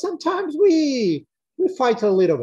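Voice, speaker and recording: A man with a Portuguese accent, very wide pitch swings and a moderate pace, against a quiet background. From Brazil. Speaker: parent panelist. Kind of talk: online panel discussion. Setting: video call. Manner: halting. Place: home room. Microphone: video call.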